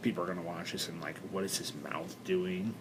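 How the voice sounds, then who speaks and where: Recorded with noticeable background noise and audible room echo, a man speaks. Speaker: vlogger and actor. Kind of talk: personal video blog. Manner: halting, many fillers.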